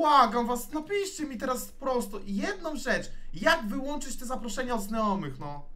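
A man shouting in a furious tone, his raised, projected voice extremely high and swinging very widely in pitch, at a moderate pace with hardly any pauses. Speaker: streamer playing FIFA. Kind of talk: angry rant. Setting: live stream while gaming. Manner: furious, swearing, exasperated, shouting. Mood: frustrated, angry outbursts. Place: home room.

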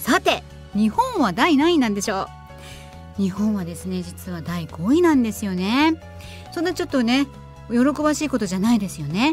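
A woman at a fairly quick pace with long, frequent pauses, dry sound with no echo, and faint music in the background. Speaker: radio personality. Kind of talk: radio segment explaining environmental topic. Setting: studio. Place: studio.

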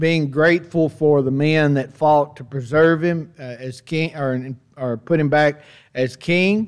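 The man keeps a moderate pace, his pitch shifting in an ordinary way while the background stays quiet. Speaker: Bible class teacher. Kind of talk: lecture. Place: church. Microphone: podium.

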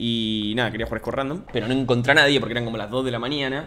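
This man has a medium pitch and a fairly bright tone, with an Argentine accent. His intonation stays fairly even. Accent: Rioplatense Argentine Spanish.

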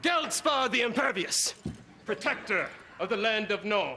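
Against faint background noise, a put-on character voice with a bright, sharp tone moves at a fairly slow pace with lively intonation. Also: man, high pitch for a man.

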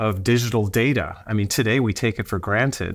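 With a quiet background, a man's speech moves at a moderate pace and shows ordinary pitch variation. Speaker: guest. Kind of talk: interview answer. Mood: enthusiastic, amazed. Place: office. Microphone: earbuds.

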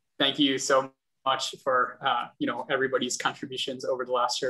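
This man's fairly high voice moves along at a fairly quick pace. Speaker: vice chair of mentorship at a bar association. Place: home room. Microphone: video call.

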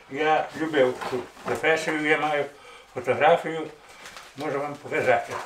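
A man's fairly high voice at a fairly slow pace, fairly even in intonation, with audible room echo and light background noise. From Hutsul region, Ukrainian Carpathians. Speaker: retired policeman. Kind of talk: interview answer. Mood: calm reminiscing. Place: home room.

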